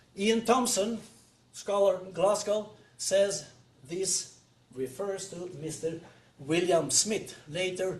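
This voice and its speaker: A man with a Norwegian accent, a high pitch and ordinary pitch variation, plus audible room echo. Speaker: retired professor. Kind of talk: lecture. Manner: halting.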